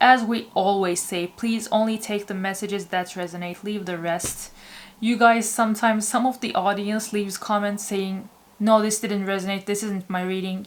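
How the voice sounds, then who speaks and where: A woman with a non-native accent and monotone, flat intonation. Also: medium pitch for a woman, moderate pace. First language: not English. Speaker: tarot reader. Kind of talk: tarot reading intro to camera.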